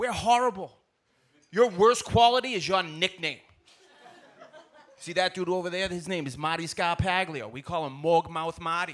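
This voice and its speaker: Long, frequent pauses break up a man's speech in a Boston accent, delivered at a moderate pace. His pitch is high with ordinary variation, and his loudness swings widely. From Boston, Massachusetts (South Boston). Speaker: stand-up comedian. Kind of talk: stand-up.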